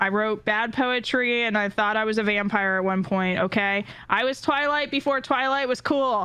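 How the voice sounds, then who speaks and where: A woman with an American accent speaks in a bright, sharp tone at a fairly high pitch, with ordinary pitch variation, very even loudness, and hardly any pauses over a quiet background. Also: moderate pace. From California. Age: 30s. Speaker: streamer and community organizer. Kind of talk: casual chat.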